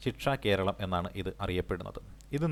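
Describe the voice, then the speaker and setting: Heard on a very clean recording with a silent background, a man talks in a fairly low pitch with vocal fry and ordinary pitch variation. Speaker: exam coaching teacher. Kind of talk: lecture. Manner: repetitive, dictation-like pacing.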